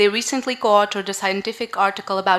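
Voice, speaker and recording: A woman with a strong northern Portuguese accent, medium pitch, and a fairly quick pace. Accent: strong Porto. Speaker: conference moderator. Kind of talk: conference moderation.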